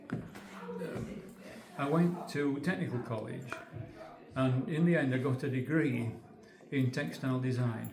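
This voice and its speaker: In a Yorkshire accent, a man with a medium pitch and ordinary pitch variation talks at a fairly slow pace with long, frequent pauses, amid audible room echo and noticeable background noise. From northern England, Yorkshire (Holmfirth). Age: 80s+. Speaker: retired textile designer, museum volunteer. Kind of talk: guided demonstration. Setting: museum weaving room. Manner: halting.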